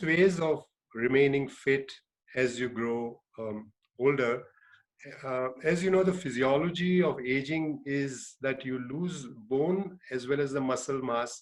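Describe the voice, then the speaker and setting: This man's voice sits at a fairly high pitch with ordinary pitch variation. He speaks at a very slow pace. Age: 60s. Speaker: urologist and cycling teacher. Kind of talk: online talk to seniors.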